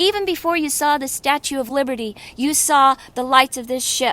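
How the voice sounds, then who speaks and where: Recorded with a dry, close sound and no echo, a woman speaks at a high pitch in a bright, sharp tone. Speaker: live-streamer. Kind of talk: live-stream chat. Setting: outdoors. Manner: animated; loud.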